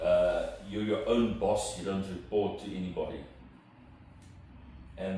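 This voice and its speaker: Fairly slow speech from a man amid noticeable background noise and audible room echo. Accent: South African. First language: Afrikaans. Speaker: entrepreneur. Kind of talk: interview. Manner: hesitant, repeats words.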